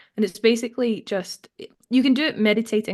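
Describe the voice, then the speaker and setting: A woman's voice over a quiet background. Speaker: actor and filmmaker. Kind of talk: podcast interview.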